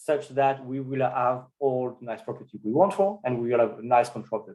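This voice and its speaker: A plain, everyday voice, fairly quick in pace, its pitch varying in an ordinary way. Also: man. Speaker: mathematics researcher giving a talk. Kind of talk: conference talk.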